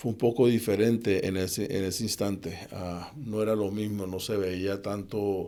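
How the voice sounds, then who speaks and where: A man with a fairly low pitch and a dark, mellow tone speaks at a fairly slow pace with hardly any pauses and fairly even intonation. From Colombia, Cali. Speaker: assistant football coach. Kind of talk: interview conversation.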